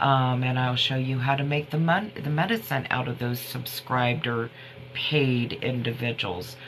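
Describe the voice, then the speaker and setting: Over noticeable background noise and audible room echo, a woman talks at a moderate pace. Her voice is very deep and low, with ordinary pitch variation. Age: 50s. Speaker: herbal remedy livestreamer. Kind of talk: casual livestream chat. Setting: TikTok live stream. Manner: rambling, halting.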